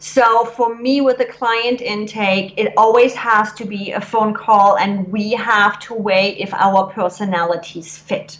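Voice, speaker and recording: Speaking with a German accent at a fairly slow pace, a woman uses a fairly high pitch and fairly even intonation over noticeable background noise. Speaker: business coach. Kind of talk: interview. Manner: blunt.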